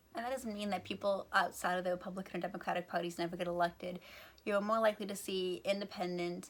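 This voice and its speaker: A woman's medium-pitched voice in an American accent, very fast, with fairly even intonation. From United States. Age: young. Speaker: YouTuber explaining topics. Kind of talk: casual explainer video. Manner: casual with fillers.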